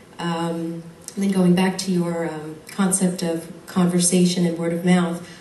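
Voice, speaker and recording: Over noticeable background noise and audible room echo, a woman with an American accent speaks at a fairly low pitch. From United States. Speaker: audience member, marketing consultant. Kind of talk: audience comment at Q&A.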